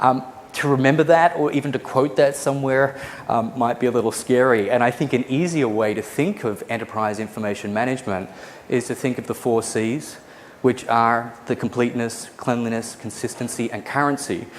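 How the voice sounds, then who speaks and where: A man with an American accent and medium pitch talks at a fairly quick pace over noticeable background noise. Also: ordinary pitch variation. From Australia. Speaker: conference speaker, database expert. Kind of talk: conference lecture. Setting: conference session with live audience.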